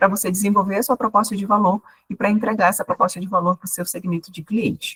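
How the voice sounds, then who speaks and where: An unremarkable speaking voice moves at a fairly quick pace, with a dry, close sound and no echo. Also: woman. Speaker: university professor, business mentor. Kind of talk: online workshop lecture.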